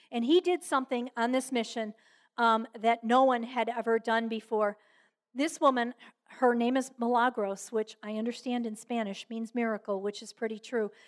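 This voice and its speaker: A woman speaks in a plain, everyday voice at a fairly high pitch and moderate pace, with fairly even intonation. The recording is very clean, with a silent background and a dry, close sound with no echo. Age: 60s. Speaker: Rotary club speaker and volunteer. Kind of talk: talk to a club. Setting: club luncheon with audience. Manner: conversational with fillers.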